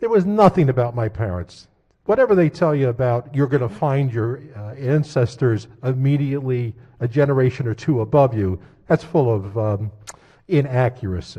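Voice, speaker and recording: Speaking at a moderate pace, a man uses a medium pitch and a dark, mellow, somewhat breathy tone with lively intonation. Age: 70s. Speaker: state senator. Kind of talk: floor debate speech. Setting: legislative chamber.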